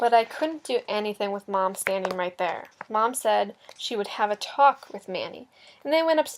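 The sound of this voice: An unforced reading voice is used. Its intonation is lively.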